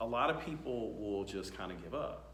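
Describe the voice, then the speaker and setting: Audible room echo surrounds a man with an American accent. His medium-pitched voice carries lively intonation. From US. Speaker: talk show host. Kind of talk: casual interview chat. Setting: tech conference. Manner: halting, many fillers.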